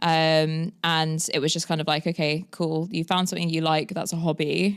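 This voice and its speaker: In a London accent, a woman speaks at a moderate pace with a fairly low pitch. The recording is very clean, with a silent background. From London, England. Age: 30s. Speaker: agency founder. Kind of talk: podcast interview.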